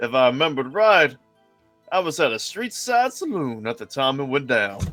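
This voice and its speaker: A man puts on a drawling character voice in a Western US accent, pitched fairly high. He keeps a moderate pace, and faint music plays in the background. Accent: put-on Western cowboy drawl. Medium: game stream. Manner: drawling, folksy, unhurried.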